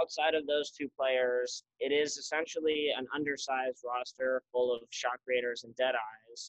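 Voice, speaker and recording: With an American accent, a man talks at a moderate pace and medium pitch, hardly pausing, his intonation monotone and flat. His loudness swings widely, and the sound is dry and close with no echo. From Utah, Salt Lake City. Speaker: student and social media sports page owner. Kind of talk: casual chat.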